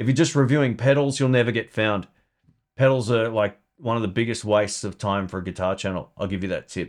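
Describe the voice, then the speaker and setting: In an Australian accent, a man speaks at a very fast pace and medium pitch. The recording is very clean, with a silent background. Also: ordinary pitch variation. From Melbourne, Australia. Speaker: guitar YouTuber and podcaster. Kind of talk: casual live stream Q&A. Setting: live stream. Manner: casual, chatty, friendly.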